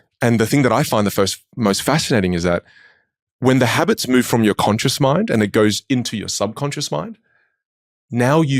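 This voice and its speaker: The recording is very clean, with a silent background and a dry, close sound with no echo. Delivery comes at a moderate pace with ordinary pitch variation. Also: man. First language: Chinese dialect. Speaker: public speaking coach. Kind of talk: interview.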